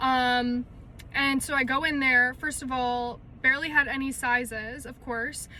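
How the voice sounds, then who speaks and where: Projecting her voice in a raised, high pitch, a woman with an American accent speaks at a fairly slow pace in a bright, sharp tone with monotone, flat intonation and big swings in loudness. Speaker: lifestyle vlogger. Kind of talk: casual vlog talk. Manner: chatty, filler-heavy.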